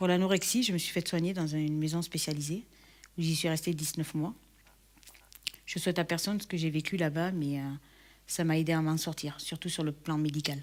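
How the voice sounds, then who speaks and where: A woman speaks at a fairly quick pace with a fairly low pitch and a slight southern French accent. Her intonation is fairly even, and she leaves long, frequent pauses. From southern France, Perpignan. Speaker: church member giving testimony. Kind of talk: testimony. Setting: recorded video shown in church. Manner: hesitant, many fillers.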